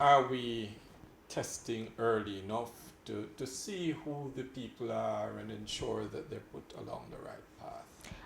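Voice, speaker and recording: Big swings in loudness mark a man's speech, delivered at a fairly slow pace. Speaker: talk show host. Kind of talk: interview questions. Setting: studio.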